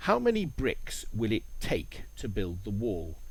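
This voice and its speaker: A man at a very slow pace amid audible room echo. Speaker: English teacher. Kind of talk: language lesson narration. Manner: clear.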